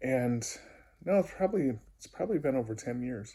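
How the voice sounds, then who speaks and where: A man is speaking. His tone is dark and mellow. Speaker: video diarist and music therapist. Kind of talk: personal video diary. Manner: hesitant, many fillers.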